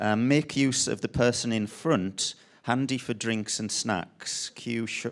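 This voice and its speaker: Spoken with a Sunderland accent, the words come at a very slow pace with ordinary pitch variation. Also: man. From northern England, Sunderland. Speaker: designer and artist. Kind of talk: panel talk presentation. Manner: halting, many ums and restarts.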